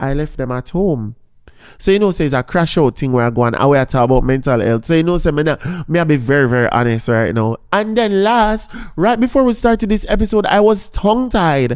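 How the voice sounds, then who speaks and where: A man with a Jamaican accent talks in a fairly high pitch. His tone is animated, with very wide pitch swings. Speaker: podcast host. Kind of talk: casual podcast chat.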